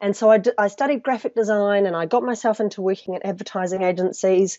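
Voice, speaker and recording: A woman with a New Zealand accent, medium pitch, ordinary pitch variation and a fairly quick pace. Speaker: personal branding specialist. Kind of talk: interview.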